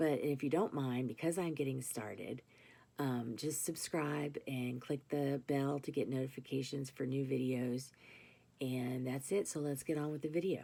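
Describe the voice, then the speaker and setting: Gravelly and very deep in pitch, a woman speaks at a moderate pace. The recording is very clean, with a silent background. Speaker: vlogger with chronic illness. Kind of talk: casual vlog monologue. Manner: halting, many fillers.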